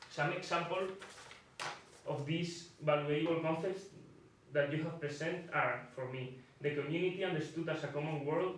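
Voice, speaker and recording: Recorded with audible room echo and noticeable background noise, a man speaks with a Spanish accent at a moderate pace. His fairly high pitch holds a fairly even intonation, broken by long, frequent pauses. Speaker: student discussant. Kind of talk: reading aloud.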